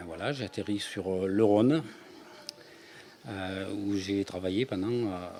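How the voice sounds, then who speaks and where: A man's pitch is fairly low and shows ordinary variation. He speaks at a very slow pace. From France, Ardèche. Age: 60s. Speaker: author, retired energy worker. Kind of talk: interview. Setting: radio. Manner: halting.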